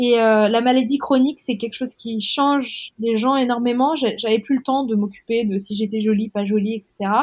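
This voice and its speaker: Her voice somewhat breathy, a woman talks at a fairly high pitch. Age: 30s. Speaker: author. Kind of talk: interview conversation.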